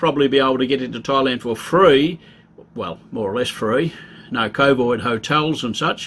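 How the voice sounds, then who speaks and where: With an Australian accent, the speaker has a bright, sharp tone and a moderate pace. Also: man. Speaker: travel vlogger. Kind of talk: casual informational talk. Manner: casual, conversational.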